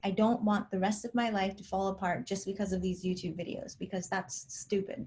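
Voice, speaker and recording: A woman talks at a fairly quick pace with hardly any pauses. Her medium-pitched voice is somewhat breathy. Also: ordinary pitch variation. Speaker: personality-type vlogger. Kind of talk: casual vlog monologue.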